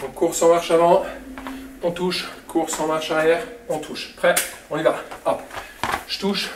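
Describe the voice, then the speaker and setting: Over noticeable background noise, a man talks in a high, monotone, flat voice. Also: moderate pace. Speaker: fitness coach. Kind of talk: workout instruction while exercising. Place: gym.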